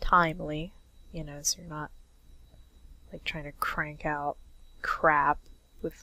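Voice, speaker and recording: A woman with a husky, very deep, low voice speaks at a very slow pace in a monotone, flat intonation. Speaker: comic artist. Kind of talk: casual drawing commentary.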